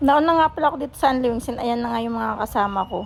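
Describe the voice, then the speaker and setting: With ordinary pitch variation, a woman speaks very quickly. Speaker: food vlogger. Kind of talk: vlog voice-over. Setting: restaurant. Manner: fast; animated.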